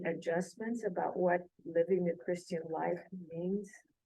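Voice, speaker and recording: A fairly slow pace in a South Texas accent. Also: woman. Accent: South Texas American English. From South Texas (San Diego, Texas). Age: 80s+. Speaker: church study group participant. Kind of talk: casual group discussion. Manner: halting.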